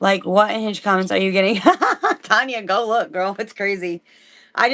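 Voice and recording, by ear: A passage is read aloud in a natural voice. Its intonation is fairly even.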